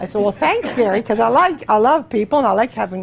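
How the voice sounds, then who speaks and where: Against noticeable background noise, a woman speaks at a very fast pace. Her voice is fairly high, with lively intonation. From Canada. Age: 60s. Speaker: testimonial speaker. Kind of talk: testimony. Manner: fast, chatty.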